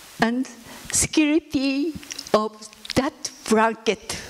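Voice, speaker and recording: A woman speaks at a very slow pace in a high voice. Her intonation stays fairly even. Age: 80s. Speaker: atomic bomb survivor. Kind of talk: testimony. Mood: solemn, reflective. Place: hall. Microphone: handheld.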